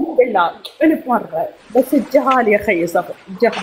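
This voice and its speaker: The speech goes at a fairly slow pace with very wide pitch swings, and background noise is noticeable. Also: woman. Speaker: caller asking for help. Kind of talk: emotional appeal on live stream. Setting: live stream.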